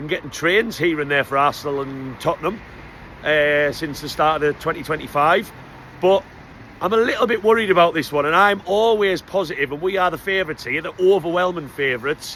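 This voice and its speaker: A man with a Geordie accent, high-pitched, speaking at a fairly quick pace. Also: ordinary pitch variation. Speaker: football fan vlogger. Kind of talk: casual vlog. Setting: on a supporters bus. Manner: animated; loud.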